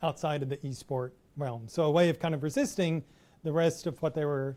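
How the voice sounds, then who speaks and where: A man with a fairly high pitch talks fairly quickly, keeping his intonation fairly even. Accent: Texas. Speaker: professor. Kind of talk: lecture.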